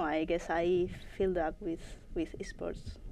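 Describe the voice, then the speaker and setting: In a Spanish accent, a woman talks. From Spain, Madrid. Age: 20s. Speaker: esports player. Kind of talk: interview. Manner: halting.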